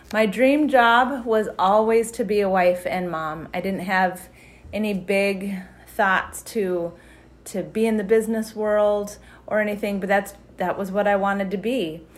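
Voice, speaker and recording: A woman's medium-pitched voice with an American accent, fairly even intonation and a fairly slow pace, in audible room echo. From Wyoming, US. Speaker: church member sharing testimony. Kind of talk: testimony.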